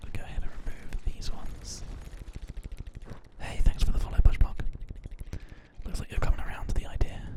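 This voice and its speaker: Against noticeable background noise, the speaker whispers at a fairly quick pace in a relaxed tone, with long, frequent pauses. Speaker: ASMR gaming streamer. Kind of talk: whispered live-stream gaming commentary. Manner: whispering; soft-spoken, relaxed.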